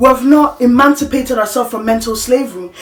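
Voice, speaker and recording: A woman talks at a fairly quick pace in a high voice with ordinary pitch variation, and background noise is noticeable. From Africa. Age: 20s. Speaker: vlogger. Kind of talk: personal monologue. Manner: halting.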